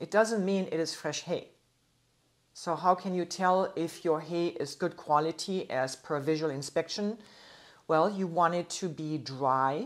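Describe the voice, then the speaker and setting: A woman's fairly low voice at a fairly slow pace, with ordinary pitch variation over a quiet background. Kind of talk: lecture. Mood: friendly, informative. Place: office.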